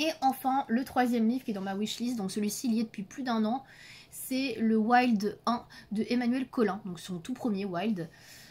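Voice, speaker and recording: Recorded very cleanly against a silent background, a woman talks at a fairly high pitch with ordinary pitch variation. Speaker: YouTuber reviewing adult coloring books. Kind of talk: casual vlog talk to camera. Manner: fast.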